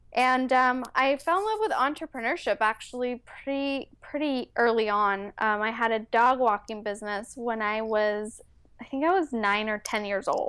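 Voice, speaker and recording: In a Californian accent, a woman speaks with hardly any pauses. Her voice is fairly high and its pitch varies an ordinary amount. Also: moderate pace. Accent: near-native Californian English. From Mexico City, raised in San Francisco Bay Area from age 8. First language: Spanish. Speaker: entrepreneur and wellness coach. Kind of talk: interview.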